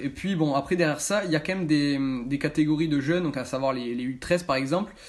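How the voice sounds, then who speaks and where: A man's voice with ordinary pitch variation. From France, Bordeaux area (Gironde). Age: 20s. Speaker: amateur footballer and club intern. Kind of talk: interview answers to camera. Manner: halting, many fillers.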